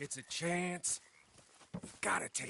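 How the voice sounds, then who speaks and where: A man puts on a raspy character voice. His pitch sits high. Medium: video game. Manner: sneering, sardonic.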